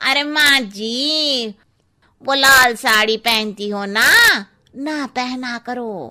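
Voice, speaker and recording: A woman does a cartoonish character voice. It is high-pitched and very slow. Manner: blunt, cheeky.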